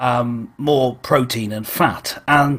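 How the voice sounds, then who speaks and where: A man speaks in a British accent. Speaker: online church show host. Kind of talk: casual chat. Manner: halting.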